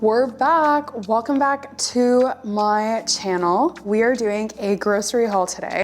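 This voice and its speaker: At a fairly slow pace, a woman with a Canadian accent talks in a fairly high pitch with ordinary pitch variation amid noticeable background noise. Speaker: nutrition vlogger. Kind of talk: casual vlog. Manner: casual with filler words.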